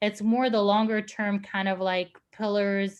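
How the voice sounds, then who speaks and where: A woman speaks at a medium pitch in a flat monotone. The recording is very clean, with a silent background. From Lebanon (Beirut). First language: not English (English is her third language). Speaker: creative director. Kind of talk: panel Q&A discussion. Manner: hesitant, with fillers and restarts.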